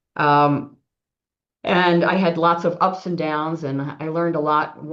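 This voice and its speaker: A woman is talking. Her voice is very deep and low. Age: 70s. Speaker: retired business executive. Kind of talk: webinar interview. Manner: hesitant fillers, many ums.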